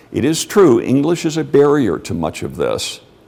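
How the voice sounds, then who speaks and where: In an American accent, the voice moves at a moderate pace. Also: man. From Mexico City. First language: Spanish. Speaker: lecturer. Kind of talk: lecture Q&A. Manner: conversational.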